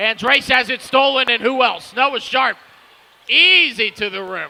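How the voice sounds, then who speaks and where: A raised, projected voice moves at a fairly slow pace with ordinary pitch variation. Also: man, extremely high pitch for a man. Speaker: basketball play-by-play commentator. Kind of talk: live commentary.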